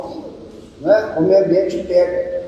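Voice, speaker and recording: A woman's voice with very wide pitch swings, audible room echo, and noticeable background noise. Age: 60s. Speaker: study group participant. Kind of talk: group study discussion.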